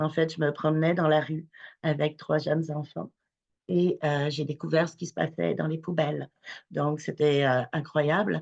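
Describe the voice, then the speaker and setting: A woman with a very deep, low voice speaks at a fairly slow pace. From France. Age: 40s. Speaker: charity founder. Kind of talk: webinar talk, personal testimony. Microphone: connection problems.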